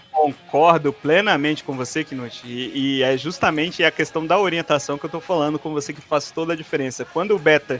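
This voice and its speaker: Over music in the background, a man talks at a fairly quick pace with a fairly high pitch and fairly even intonation. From Brazil, Belo Horizonte, Minas Gerais. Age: 20s. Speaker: podcast guest telling life story. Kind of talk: casual chat.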